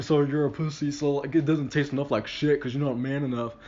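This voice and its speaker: The man here speaks with a fairly high pitch. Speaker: vlogger and aspiring comedian. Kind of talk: casual monologue vlog. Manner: halting, many fillers and repeats; slightly elevated tone for recording.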